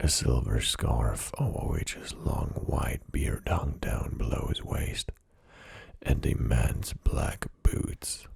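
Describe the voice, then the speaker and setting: Whispered words come very slowly against noticeable background noise. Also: man. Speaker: ASMR creator. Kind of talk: book reading. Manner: soft-spoken.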